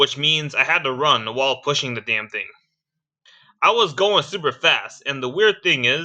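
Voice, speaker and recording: A man with a fairly high pitch talks at a moderate pace, his tone bright and sharp. His intonation is lively, and the background is quiet. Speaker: content creator. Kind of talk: casual storytelling vlog. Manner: animated.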